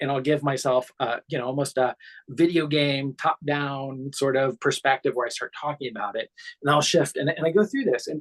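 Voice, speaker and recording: In a dry, close sound with no echo, a man with a fairly high pitch talks at a fairly quick pace. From US Midwest. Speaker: cognitive psychotherapist. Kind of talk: casual chat. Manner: halting, many repeated words.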